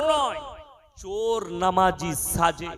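Over noticeable background noise, a man speaks in an animated tone at a high pitch with very wide pitch swings. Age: 30s. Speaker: Islamic preacher. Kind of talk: sermon.

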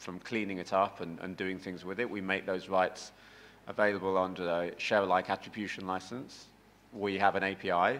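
The speaker has a British accent. The intonation is monotone and flat. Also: man. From United Kingdom. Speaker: company CEO, former journalist; former journalist. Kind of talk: panel discussion. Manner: halting, many fillers. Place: meeting room.

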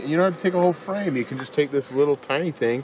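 A man is speaking with light background noise. The sound is dry, with no echo. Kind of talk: tutorial. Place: garden. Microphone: phone near.

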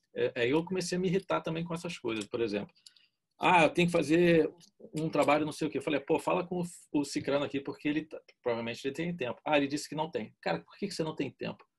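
Talking at a very fast clip, a man with a fairly high pitch and vocal fry shows ordinary pitch variation. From Brazil. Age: 50s. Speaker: art director; interviewee. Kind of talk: casual interview. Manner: informal, slangy. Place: home room. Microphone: video call.

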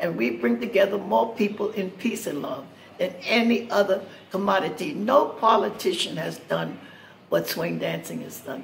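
Over light background noise, a woman speaks at a moderate pace with big swings in loudness and very wide pitch swings. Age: 80s+. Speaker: swing dancer. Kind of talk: spoken appeal addressed to the president. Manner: earnest, pleading. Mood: earnest, pleading. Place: cafe. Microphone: phone near.

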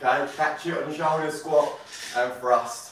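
Pitched fairly high, a man speaks with fairly even intonation. Audible room echo and light background noise surround him. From UK. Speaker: fitness co-instructor; fitness trainer. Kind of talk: live workout coaching. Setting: live stream from a home workout room. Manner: relaxed, jokey banter. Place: home room.

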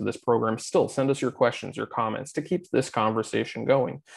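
A man speaks at a very fast pace with vocal fry and ordinary pitch variation. The background is quiet. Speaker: event host. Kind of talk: program introduction.

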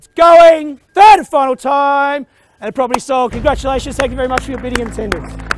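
There is light background noise as a man talks with ordinary pitch variation, the sound dry and without echo. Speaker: real estate auctioneer. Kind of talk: property auction, live bidding. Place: street. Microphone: lapel.

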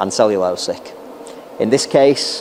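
Light background noise is present. The delivery keeps a moderate pace. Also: man. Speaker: welding product demonstrator. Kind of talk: tutorial. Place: workshop. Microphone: lapel.

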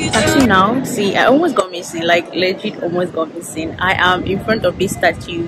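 Music plays in the background as a woman speaks at a moderate pace with ordinary pitch variation and hardly any pauses, the sound dry with no echo. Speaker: travel vlogger. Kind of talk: casual vlog chat. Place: street. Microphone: phone near.

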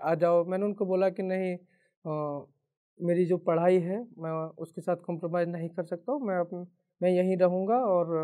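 Against a quiet background, a man with a high pitch and a dark, mellow tone speaks with fairly even intonation. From Mainpuri district, Uttar Pradesh, India; Uttar Pradesh. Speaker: civil services officer. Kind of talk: motivational talk; motivational talk, personal story. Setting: stage. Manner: halting. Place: studio. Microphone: lapel.

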